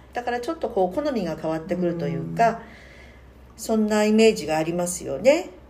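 A very fast-talking woman with a medium pitch and lively intonation, plus noticeable background noise. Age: 60s. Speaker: podcast co-host, worker at a same-sex partner matchmaking agency. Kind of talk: casual chat.

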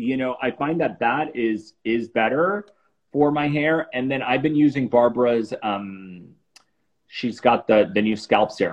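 An unremarkable speaking voice: a man with an American accent and medium pitch. He talks at a fairly slow pace with lively intonation. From Miami, South Florida. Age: 40s. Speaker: celebrity facialist. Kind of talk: casual interview on a livestream.

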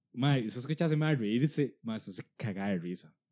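This man speaks in a Costa Rican accent at a medium pitch, with lively intonation and a fairly slow pace. The recording is very clean, with a silent background. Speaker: comedian podcast host. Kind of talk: casual chat.

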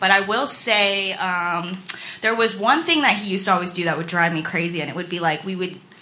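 A woman with a medium pitch and ordinary pitch variation talks at a fairly quick pace as noticeable background noise carries on. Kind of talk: live stand-up storytelling, confessional and self-deprecating. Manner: nervous, rambling, jittery, self-mocking.

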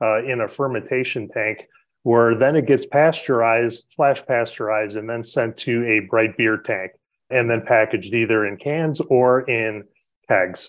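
This is a plain, everyday voice with an American accent. It moves at a moderate pace with fairly even intonation. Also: man, medium pitch for a man. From Chicago, South Side. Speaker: head brewer. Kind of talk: podcast interview.

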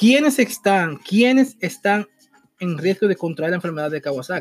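Speaking in a Dominican accent, a man with a high voice talks fairly quickly in an animated tone, the sound dry and close with no echo. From Dominican Republic. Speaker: podcast host. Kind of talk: casual commentary. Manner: halting.

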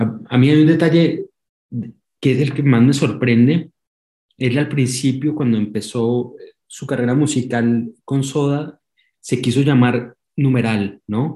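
The voice has a dark, mellow tone and is somewhat breathy, in a Colombian accent. Long, frequent pauses break up the speech. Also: man, medium pitch for a man, fairly even intonation. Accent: Colombian, unchanged. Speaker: documentary filmmaker. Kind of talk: interview. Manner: halting, many repeated words.

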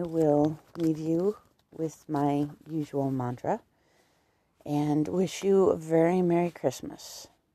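This soft-spoken woman has a very deep, low pitch, a very slow pace, and fairly even intonation. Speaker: podcaster and writer. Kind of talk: casual monologue. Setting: at home.

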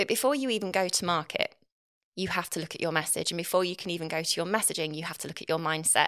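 A woman talks at a very fast pace with an East Midlands accent. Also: fairly low pitch for a woman, ordinary pitch variation. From England, Nottinghamshire (East Midlands). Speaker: copywriter and marketer, former journalist. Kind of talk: interview conversation. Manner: fast talker.

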